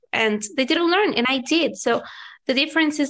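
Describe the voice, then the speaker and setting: A woman with a Venezuelan accent and ordinary pitch variation. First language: Spanish. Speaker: language-learning YouTuber and teacher. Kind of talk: casual interview chat.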